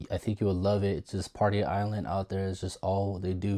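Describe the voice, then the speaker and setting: The voice sounds shaky, with monotone, flat intonation. The recording is very clean, with a silent background. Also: man. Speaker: DJ, former US Navy sailor. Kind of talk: casual storytelling to camera. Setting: home guest room. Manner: rambling, shaky voice.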